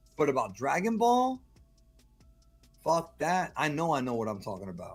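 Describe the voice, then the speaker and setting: Music plays behind a man speaking at a fairly quick pace. His tone is animated. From Cuba. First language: Spanish. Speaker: podcast guest. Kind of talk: casual chat. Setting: group call.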